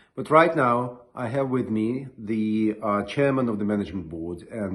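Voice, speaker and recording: This man has a fairly low pitch, ordinary pitch variation, and a Russian accent. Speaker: interviewer, association president. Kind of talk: formal interview introduction. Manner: formal.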